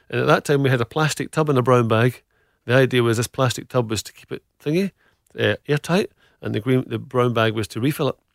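A man at a medium pitch talks at a very fast pace with ordinary pitch variation and big swings in loudness, in a very clean recording with a silent background and a dry, close sound with no echo. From Scotland, Glasgow. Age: middle-aged. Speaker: food business founder. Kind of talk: interview.

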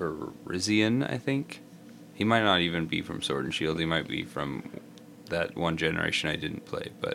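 Very wide pitch swings mark a man's very deep, low voice, heard over noticeable background noise. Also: moderate pace. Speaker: podcast co-host. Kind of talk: casual chat.

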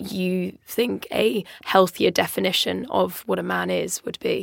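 A woman with an English accent. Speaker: podcast co-host. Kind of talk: casual chat. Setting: studio.

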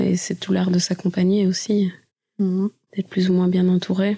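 A woman's voice with a dark, mellow tone moves at a fairly slow pace in monotone, flat intonation. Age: 30s. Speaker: musician. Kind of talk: interview.

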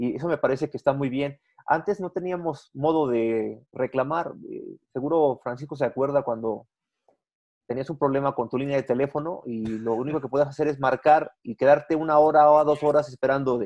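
A man talks at a moderate pace in a plain, everyday voice, fairly high in pitch with fairly even intonation. The sound is dry and close, with no echo. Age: 40s. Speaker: business journalist and entrepreneur. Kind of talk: interview.

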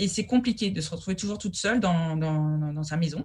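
A woman's somewhat breathy voice moves at a moderate pace, her intonation lively. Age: 40s. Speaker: food educator and business owner. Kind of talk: interview. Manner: halting.

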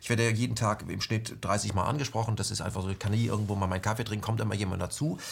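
Speaking very fast with hardly any pauses, a man has a fairly low, somewhat breathy voice and fairly even intonation. The recording is very clean, the background silent. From West Germany. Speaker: interview host. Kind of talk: interview.

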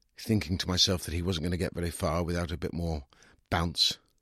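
A slightly husky voice at a fairly quick pace, with a dry, close sound with no echo, is captured in a very clean recording with a silent background. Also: man, low pitch for a man, fairly even intonation.

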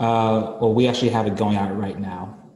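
A man speaks at a moderate pace in a fairly low, somewhat breathy voice with a dark, mellow tone. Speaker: client in training program. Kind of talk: Q&A coaching call.

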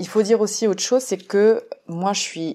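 A woman speaks with a dark, mellow tone. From France. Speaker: theatre teacher and podcast producer. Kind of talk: solo podcast monologue. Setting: solo at a microphone. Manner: hesitant, many fillers.

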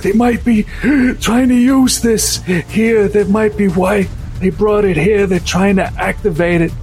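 A man's put-on character voice, high-pitched and wheezy, at a fairly slow pace over clear background music.

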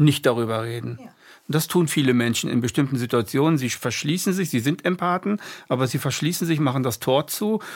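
The man's pitch is fairly high and his intonation lively. His recording is very clean, with a silent background. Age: 60s. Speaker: podcast host. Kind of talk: casual chat. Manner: halting.

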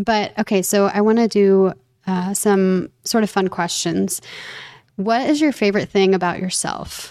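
A woman's plain, everyday voice at medium pitch, fairly slow, with fairly even intonation. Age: 30s. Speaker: podcast host. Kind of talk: scripted podcast intro and outro; casual interview chat.

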